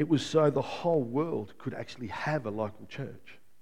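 A dark, mellow tone at a moderate pace, with audible room echo. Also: man. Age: 50s. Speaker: pastor. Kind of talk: sermon.

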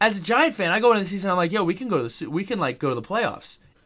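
This man talks at a very fast pace in a raised, projected voice, his high pitch making very wide swings and his tone bright and sharp. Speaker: sports podcast co-host. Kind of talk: casual chat.

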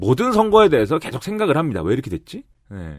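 The recording of this man is very clean, with a silent background. He talks at a fairly quick pace with vocal fry. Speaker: political commentator. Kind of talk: casual chat.

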